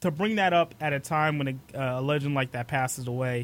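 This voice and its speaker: On a very clean recording with a silent background, a man in a normal speaking voice speaks at a fairly high pitch with ordinary pitch variation. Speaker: radio host. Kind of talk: live radio show. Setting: studio.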